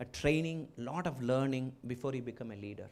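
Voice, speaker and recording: With a strong Keralan accent, a man speaks at a moderate pace with ordinary pitch variation. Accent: strong Malayali (Indian). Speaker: business executive and entrepreneur, chief guest speaker. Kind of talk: inaugural speech. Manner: halting, with fillers.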